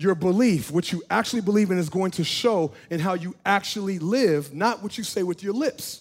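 Recorded very cleanly over a silent background, a man with a high pitch speaks in an animated tone at a moderate pace, with ordinary pitch variation and hardly any pauses. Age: 30s. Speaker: pastor. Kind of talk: sermon.

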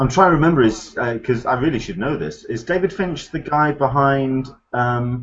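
In an English accent, a man speaks at a moderate pace and medium pitch, somewhat breathy, with lively intonation. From England. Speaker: podcast host. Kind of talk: casual chat. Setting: video call.

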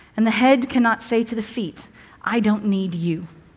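Read in a natural reading voice, with pitch moving in an ordinary way

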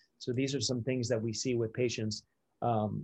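The speaker is a man with fairly even intonation. His voice is somewhat breathy. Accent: American. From Delaware, US. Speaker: dentist. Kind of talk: interview.

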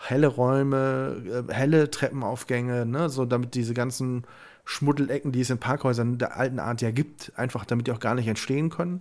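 An unremarkable speaking voice with fairly even intonation at a moderate pace. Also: man, medium pitch for a man. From Germany, Westerwald. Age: 30s. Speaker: podcast co-host. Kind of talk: casual chat.

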